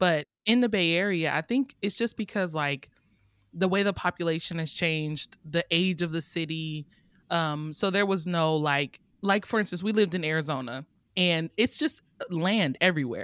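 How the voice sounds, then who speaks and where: A woman with an unremarkable speaking voice, fairly low pitch and an American accent, at a moderate pace with ordinary pitch variation, in a very clean recording with a silent background and a dry, close sound with no echo. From Oakland, California. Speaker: author and beta reader. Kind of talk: casual interview chat.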